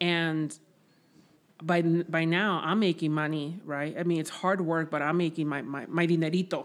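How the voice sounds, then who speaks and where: Her voice is fairly low, with a Spanish accent. This woman talks at a moderate pace with fairly even intonation. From Mexico, raised in Southern California. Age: 30s. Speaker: guest sharing life story, DACA recipient. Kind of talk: casual interview, personal life story.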